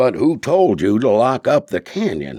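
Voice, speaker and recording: A man puts on a raspy character voice at a medium pitch, with very wide pitch swings. The sound is dry and close, with no echo. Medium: read story.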